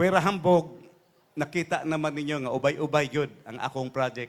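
Speaking at a moderate pace, a man of medium pitch shows ordinary pitch variation. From Davao, Philippines. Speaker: politician candidate for congress. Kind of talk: rally speech, campaign stump address to a neighborhood crowd. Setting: outdoor stage rally with a crowd.

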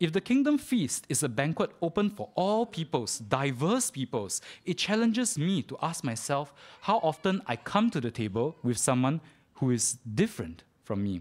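A man at a moderate pace, fairly high in pitch, with very wide pitch swings. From Singapore. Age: 30s. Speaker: preacher. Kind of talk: sermon. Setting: church. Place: church.

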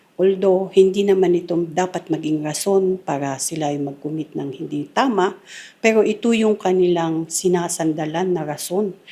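This woman's voice has a dark, mellow tone and a fairly low pitch. She keeps a moderate pace with ordinary pitch variation. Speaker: police officer. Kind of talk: interview soundbite. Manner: formal.

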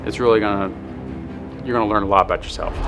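A man's voice over clear background music. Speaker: pro wrestler. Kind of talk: documentary interview answer. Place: hall.

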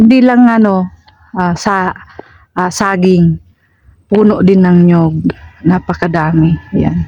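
A very slow pace with long, frequent pauses. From Philippines, Bicol (Albay). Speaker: vlogger. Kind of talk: casual vlog narration. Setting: outdoors on a coconut farm.

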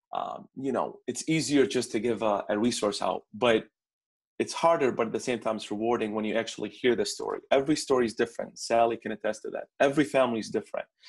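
A man with an Arabic accent speaks at a very fast pace. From Baghdad, Iraq. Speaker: immigrant student consultant. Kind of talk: interview conversation.

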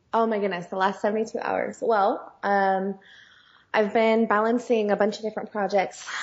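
In a West Coast American accent, a woman speaks at a moderate pace with a medium pitch. Her intonation is monotone and flat. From US West (California). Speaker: singer and songwriter. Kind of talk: interview conversation.

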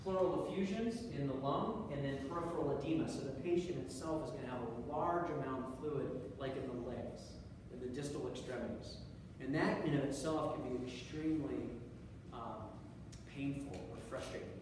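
A man talks at a moderate pace with ordinary pitch variation. Strong room echo and noticeable background noise surround his voice. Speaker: lecturer. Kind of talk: lecture. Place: classroom. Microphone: camera far.

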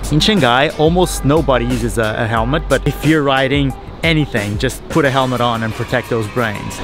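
A man speaks at a fairly quick pace. Clear music plays in the background, and the sound is dry with no echo. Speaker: vlogger. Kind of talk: casual vlog chat, product review. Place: garden. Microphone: phone near.

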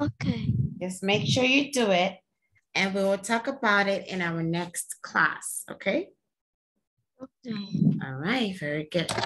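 Her pitch swinging very widely, a woman speaks. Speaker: online English teacher. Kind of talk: casual lesson talk to a child. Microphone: headset.

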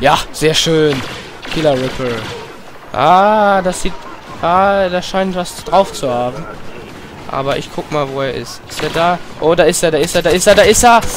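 With long, frequent pauses, a man speaks fairly slowly at a high pitch with ordinary pitch variation. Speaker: gaming YouTuber. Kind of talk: let's play commentary. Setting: home room with headset.

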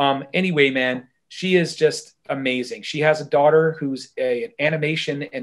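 Someone with an American accent talks at a moderate pace, the pitch varying in an ordinary way. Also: man, quiet background. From North Carolina. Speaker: high school band director and musician; guest. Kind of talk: casual interview chat. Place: home room. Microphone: video call.

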